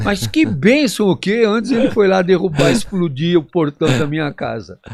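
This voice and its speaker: A man speaks at a moderate pace. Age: 70s. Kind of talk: interview answer.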